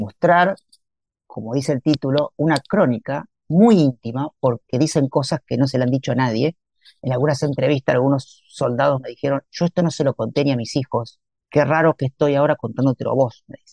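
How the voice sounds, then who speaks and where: Speaking in a Rioplatense accent at a fairly quick pace, a man with a fairly high pitch shows ordinary pitch variation and big swings in loudness, the sound dry and close with no echo. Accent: Argentine Spanish (rioplatense). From Argentina, Santa Fe. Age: 50s. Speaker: writer and chemical engineer. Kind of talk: interview.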